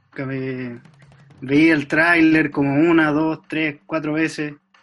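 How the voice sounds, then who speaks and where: A man speaks very slowly. His pitch is fairly high. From Chile, Talca. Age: 20s. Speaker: university student, podcast host. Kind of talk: casual chat.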